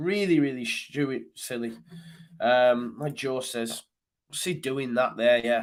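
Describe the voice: Speaking at a slow pace, a man holds a medium pitch. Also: ordinary pitch variation.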